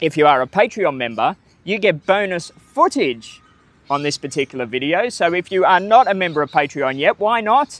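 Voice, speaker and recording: A man talks at a moderate pace in a high voice whose pitch swings very widely. The sound is dry, with no echo. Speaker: travel vlogger. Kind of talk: casual vlog chat. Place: open country.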